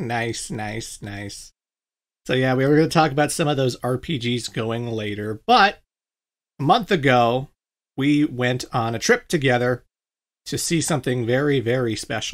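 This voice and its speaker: Recorded very cleanly against a silent background, a man speaks in a plain, everyday voice at medium pitch, with ordinary pitch variation and a fairly slow pace. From Canada. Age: 30s. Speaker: gaming YouTuber. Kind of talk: casual chat.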